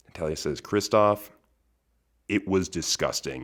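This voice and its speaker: Recorded very cleanly against a silent background, a man speaks with vocal fry and ordinary pitch variation. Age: 20s. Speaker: podcast host. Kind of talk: casual monologue.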